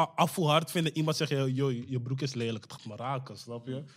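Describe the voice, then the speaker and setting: An unremarkable speaking voice, with ordinary pitch variation, comes through on a very clean recording with a silent background. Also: man. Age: 20s. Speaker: rapper. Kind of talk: casual chat.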